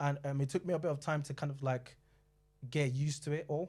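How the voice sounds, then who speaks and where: In a very clean recording with a silent background, a man with a fairly high pitch speaks at a fairly quick pace in a monotone, flat intonation, somewhat breathy. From London and Nigeria. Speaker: panellist. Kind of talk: panel discussion.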